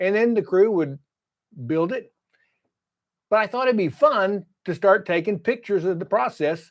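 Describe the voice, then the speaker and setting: Using lively intonation and a high pitch, a man with a Texas accent speaks at a moderate pace with long, frequent pauses. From Texas, Fort Worth. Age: 70s. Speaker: YouTuber, construction estimator. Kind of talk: casual vlog monologue. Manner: halting, many repetitions.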